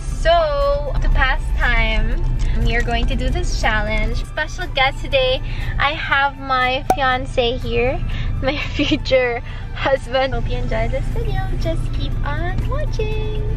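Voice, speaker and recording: A woman at a very slow pace, dry sound with no echo, clear music in the background. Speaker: vlogger. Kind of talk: casual vlog chat. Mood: cheerful, playful. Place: car. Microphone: phone near.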